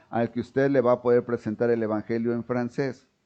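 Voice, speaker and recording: Over a quiet background, a man with a dark, mellow tone speaks at a medium pitch with fairly even intonation. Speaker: pastor. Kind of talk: sermon. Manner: halting, many self-corrections.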